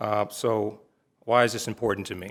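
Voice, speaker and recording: A man with fairly low pitch and fairly even intonation at a moderate pace, in a very clean recording with a silent background. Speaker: city commissioner, Navy veteran. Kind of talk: public meeting remarks.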